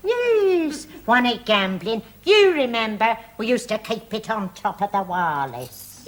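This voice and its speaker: Using a put-on character voice, a woman speaks at a moderate pace and fairly high pitch with very wide pitch swings. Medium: short film. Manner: vague, rambling.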